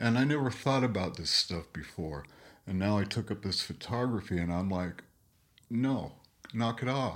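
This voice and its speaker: A man talks in a plain, everyday voice at a fairly low pitch. His pace is moderate, with ordinary pitch variation. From Page, Arizona. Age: 60s. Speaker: truck driver. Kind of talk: casual chat. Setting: studio.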